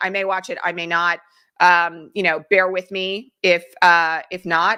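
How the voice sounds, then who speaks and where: A woman speaks with a bright, sharp tone at a medium pitch. The recording is very clean, with a silent background. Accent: American. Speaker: political commentary host. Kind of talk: live-stream commentary. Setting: live stream. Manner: fast.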